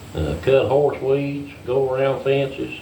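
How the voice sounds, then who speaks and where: Through audible room echo and noticeable background noise, a man speaks fairly slowly at a medium pitch with an American accent. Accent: hillbilly accent, strong. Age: 60s. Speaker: farmer. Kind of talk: casual chat. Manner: halting, many fillers.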